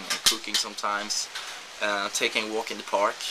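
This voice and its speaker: A man talks at a moderate speed with a fairly low pitch while noticeable background noise carries on. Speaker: esports pro player, video blogger. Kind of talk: video blog.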